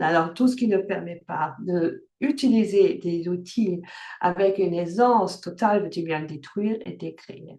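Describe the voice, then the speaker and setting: A woman with a slight non-native accent speaks at a fairly slow pace in a medium pitch, her tone dark and mellow, with ordinary pitch variation. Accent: slight foreign accent in French. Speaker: workshop facilitator. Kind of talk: online workshop talk. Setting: video call. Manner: hesitant, many fillers.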